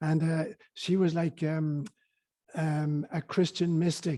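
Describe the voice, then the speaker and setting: A man with an Irish accent speaks at a high pitch in a dark, mellow tone. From Ireland, County Cork. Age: 70s. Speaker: spiritual teacher and priest. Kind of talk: interview.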